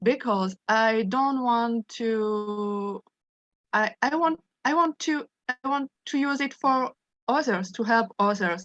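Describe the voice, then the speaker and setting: Very slow speech in a French accent with ordinary pitch variation, dry and close with no echo. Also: woman, fairly high pitch for a woman. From France. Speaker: study group participant. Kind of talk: sharing personal experience in group discussion. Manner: halting, many repetitions and self-corrections.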